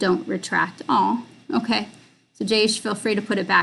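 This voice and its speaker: A woman talks at a medium pitch with vocal fry. Her intonation stays fairly even. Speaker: film director and screenwriter. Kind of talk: live stream Q&A. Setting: live video stream. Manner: halting, many fillers.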